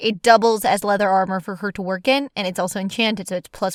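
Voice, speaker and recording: A woman speaks in an animated tone on a very clean recording with a silent background. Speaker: artist and tabletop role-play player. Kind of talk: casual monologue over speedpaint.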